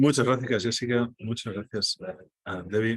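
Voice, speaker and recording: A man speaks at a moderate pace in a Catalan accent. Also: dry, close sound with no echo. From Spain, Catalonia. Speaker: data journalist, workshop speaker. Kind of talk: online workshop presentation. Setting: video call from airport restaurant.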